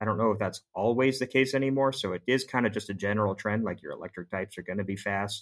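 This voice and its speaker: A man talks at a very fast pace with ordinary pitch variation. The recording is very clean with a silent background and a dry, close sound with no echo. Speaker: podcast co-host for a season arc. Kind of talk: casual chat about card games. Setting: studio.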